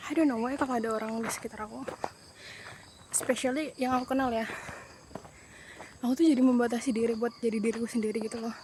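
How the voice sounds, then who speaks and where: A woman's high voice at a very fast pace against noticeable background noise. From Sumatra, Jambi (Tebo). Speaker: travel vlogger. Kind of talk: casual vlog talk. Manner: animated.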